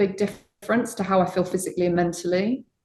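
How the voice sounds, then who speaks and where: A woman's somewhat breathy, medium-pitched voice. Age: 50s. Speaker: tech leader and charity founder. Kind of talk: interview.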